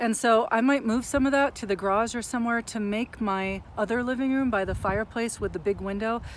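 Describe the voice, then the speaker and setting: At a fairly quick pace with hardly any pauses, a woman with a normal speaking voice talks at a fairly high pitch using fairly even intonation. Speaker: counselor and mindfulness vlogger. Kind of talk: monologue on mental health.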